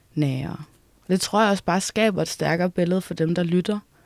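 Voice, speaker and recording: Recorded with a dry, close sound and no echo, a woman speaks at a moderate pace with a fairly low pitch. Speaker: musician. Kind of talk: casual interview. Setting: music venue building.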